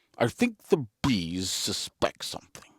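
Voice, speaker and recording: Put-on character voice from a man, medium in pitch, fairly slow in pace. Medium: read story. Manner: earnest, musing.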